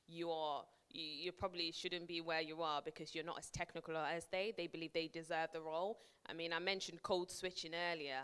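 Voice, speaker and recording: In a northern English accent, a woman talks at a moderate pace in a fairly low, monotone voice with flat intonation. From northern England (Preston). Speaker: project manager giving a career talk. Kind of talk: workshop talk to an audience. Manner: conversational, with frequent repetitions and fillers.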